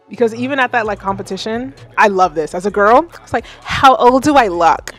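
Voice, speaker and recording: A woman with an American accent speaks at a moderate pace in an animated tone with lively intonation, music playing in the background. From United States. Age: 30s. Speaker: livestream music feedback host, singer. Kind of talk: casual livestream chat. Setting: livestream.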